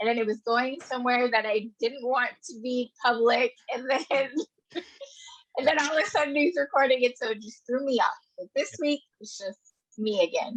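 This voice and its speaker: A woman speaks at a high pitch and a moderate pace, with ordinary pitch variation. Her loudness swings a lot, and the sound is dry and close with no echo. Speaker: podcast guest. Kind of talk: casual chat.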